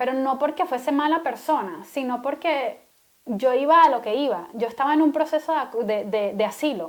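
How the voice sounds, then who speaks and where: A woman's high pitch, ordinary pitch variation and moderate pace. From Venezuela. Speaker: podcast co-host. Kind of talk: casual chat.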